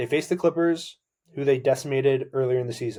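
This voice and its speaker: A man's dark, mellow, somewhat breathy voice, fairly high in pitch, at a fairly quick pace with ordinary pitch variation. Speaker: sports podcast host. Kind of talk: solo sports podcast talk. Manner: fast; animated.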